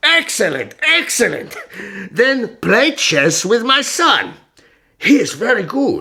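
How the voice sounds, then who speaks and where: A man's put-on character voice at an extremely high pitch, with very wide pitch swings at a fairly slow pace. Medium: audio drama. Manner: measured, courteous, commanding.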